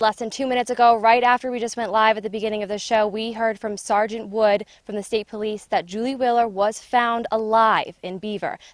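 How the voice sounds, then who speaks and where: A woman talks in a plain, everyday voice at a fairly high pitch and fairly quick pace, her intonation fairly even. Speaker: TV news reporter. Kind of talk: TV news reporting, stand-ups and packages.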